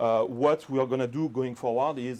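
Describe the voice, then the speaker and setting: A man with a French accent talks very fast at a medium pitch. His intonation stays fairly even. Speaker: product manager presenting. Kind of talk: technical presentation with Q&A. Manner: hesitant, many fillers.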